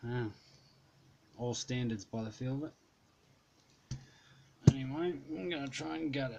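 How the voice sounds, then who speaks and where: A man's dark, mellow voice at a medium pitch, broken by long, frequent pauses. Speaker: lockpicking hobbyist. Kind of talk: tutorial demonstration. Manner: casual, halting.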